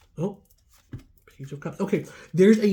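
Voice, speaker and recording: A woman's somewhat breathy voice has a dark, mellow tone. She talks at a moderate pace with ordinary pitch variation. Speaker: tarot reader. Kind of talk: tarot reading. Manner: casual, chatty.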